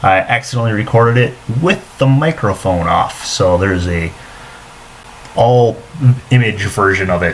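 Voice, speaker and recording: Ordinary pitch variation, long and frequent pauses, and noticeable background noise. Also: man, medium pitch for a man. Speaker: meteorologist. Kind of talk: weather forecast. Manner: fast.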